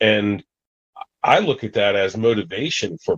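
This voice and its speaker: In a dry, close recording with no echo, a man with an American accent speaks at a fairly low pitch, an unremarkable speaking voice with lively intonation. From US Mid-Atlantic (Washington DC area). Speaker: outdoorsman, hunter and falconer. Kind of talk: casual interview chat.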